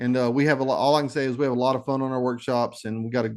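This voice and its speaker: Speaking in a Texas accent, a man uses a medium pitch and a dark, mellow tone with monotone, flat intonation. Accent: Texas twang. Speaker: nature photographer. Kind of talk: presentation. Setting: video call.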